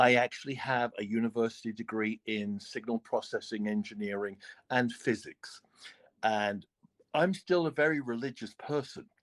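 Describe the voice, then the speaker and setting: Here a man with a British accent speaks at a medium pitch with ordinary pitch variation. The sound is dry and close with no echo, on a very clean recording with a silent background. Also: moderate pace. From United Kingdom. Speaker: religious debater on a live stream. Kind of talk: heated debate. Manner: halting, frequent restarts and filler.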